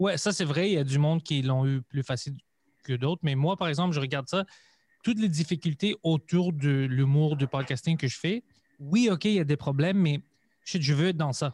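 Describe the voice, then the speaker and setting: A man with a fairly high pitch speaks in a somewhat breathy voice. The recording is very clean with a silent background, and the sound is dry and close with no echo. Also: ordinary pitch variation, moderate pace, very even loudness. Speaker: comedian and podcaster. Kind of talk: casual chat.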